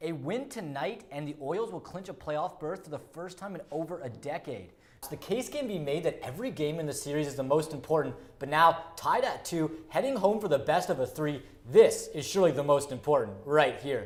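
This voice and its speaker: Over noticeable background noise, a man sounds upbeat and energetic, with lively intonation. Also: fairly high pitch for a man, fairly quick pace. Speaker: sports anchor. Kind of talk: sports news anchor read. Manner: upbeat, energetic.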